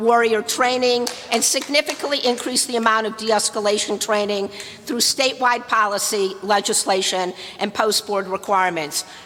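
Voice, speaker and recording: An American accent at a moderate pace with ordinary pitch variation, over noticeable background noise. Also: woman. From US Midwest, Detroit. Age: 60s. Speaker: activist. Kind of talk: public comment. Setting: public meeting. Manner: forceful.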